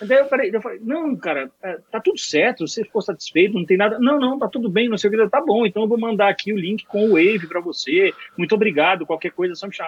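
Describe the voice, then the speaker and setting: Speech comes at a very fast pace. The intonation is lively. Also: man, high pitch for a man. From Bahia, Brazil. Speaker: mixing engineer. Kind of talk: casual chat.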